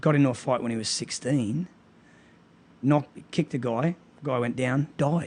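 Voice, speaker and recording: Speaking fairly slowly with long, frequent pauses, a man with an Australian accent keeps a medium pitch and fairly even intonation. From Australia, Brisbane. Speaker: martial arts gym owner and coach. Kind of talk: podcast interview.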